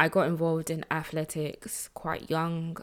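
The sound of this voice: With a low pitch, a woman speaks in monotone, flat intonation. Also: fairly slow pace.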